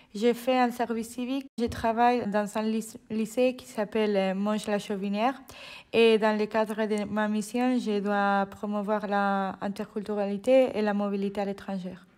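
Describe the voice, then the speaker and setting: Speaking at a fairly slow pace with a Spanish accent, a woman holds a fairly high pitch in a monotone, flat intonation. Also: very clean recording, silent background. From Spain. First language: Spanish (speaking French). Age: 20s. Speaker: civic service volunteer. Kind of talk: interview. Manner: halting.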